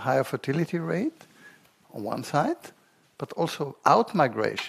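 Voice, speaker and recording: At a moderate pace, a man speaks with a fairly high pitch. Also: dry, close sound with no echo. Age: 60s. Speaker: demographer. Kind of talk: panel discussion. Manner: halting.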